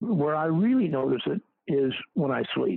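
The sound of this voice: A man speaks at a moderate pace with a fairly high pitch and big pitch swings. His voice is gravelly, with vocal fry and a slightly husky edge.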